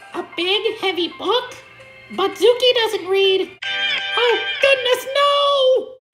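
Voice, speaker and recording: An extremely high-pitched, put-on character voice speaks at a very slow pace with long, frequent pauses. Faint music plays in the background. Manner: exasperated.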